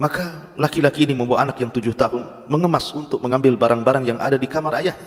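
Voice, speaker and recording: A man's voice of medium pitch moves along at a fairly quick clip. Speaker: Islamic preacher (ustad). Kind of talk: Islamic sermon (khutbah/lecture) to a congregation.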